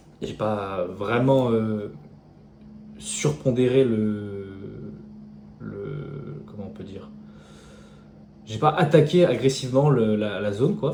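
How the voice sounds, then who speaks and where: Mumbled speech in audible room echo, with very wide pitch swings, a very slow pace and long, frequent pauses. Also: man, fairly low pitch for a man, big swings in loudness. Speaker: day trader. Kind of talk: tutorial. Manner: mumbling.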